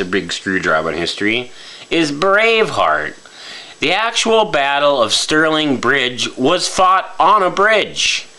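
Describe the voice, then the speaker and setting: Man with a fairly high pitch, very wide pitch swings and very even loudness, against noticeable background noise. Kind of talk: casual talk to camera. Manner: stammering, halting.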